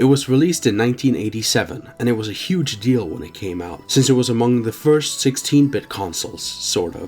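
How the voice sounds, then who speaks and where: A man at a medium pitch and a fairly quick pace, with lively intonation and music in the background. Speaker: game reviewer. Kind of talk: video game review narration.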